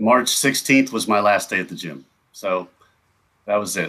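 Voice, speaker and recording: In a bright, sharp tone and a fairly low pitch, a man speaks at a fairly slow pace. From Kentucky. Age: 40s. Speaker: car detailer. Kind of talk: podcast interview. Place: home room.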